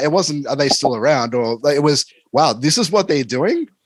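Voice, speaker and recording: Speaking in an Australian accent, a man uses a fairly high pitch with very wide pitch swings. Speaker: podcast host and music reviewer. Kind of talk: interview. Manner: casual.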